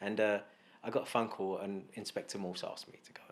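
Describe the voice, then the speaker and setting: With a London accent, a man speaks at a fairly low pitch. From East London, England, Glaswegian family. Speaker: actor. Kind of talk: casual chat.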